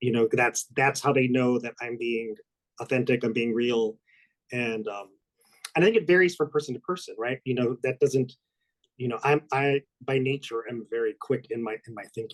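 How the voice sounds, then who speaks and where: An ordinary speaking voice from a man, medium in pitch, fairly even in intonation, at a moderate pace, with a dry, close sound and no echo. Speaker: association executive. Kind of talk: panel discussion.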